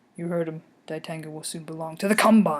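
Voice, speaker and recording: Quiet and at a fairly quick pace, a woman uses a put-on character voice with a fairly low pitch. Her loudness swings widely. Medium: read story. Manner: hushed, clipped.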